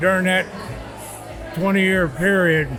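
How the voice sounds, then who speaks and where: With music in the background, a man in an American accent speaks at a high pitch with ordinary pitch variation. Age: 80s+. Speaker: retired civil engineer. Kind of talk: interview answer.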